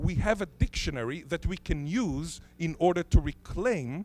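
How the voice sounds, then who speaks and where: With a fairly high pitch and some vocal fry, a man speaks with lively intonation. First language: Hebrew (Israeli). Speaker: linguist. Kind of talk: conference talk.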